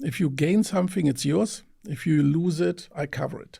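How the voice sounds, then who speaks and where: Somewhat breathy male speech in a German accent, fairly high in pitch, dark and mellow in tone, fairly slow, with ordinary pitch variation. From Germany, countryside near Mönchengladbach. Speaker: venture investor. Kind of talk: interview. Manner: halting, with fillers and repetitions.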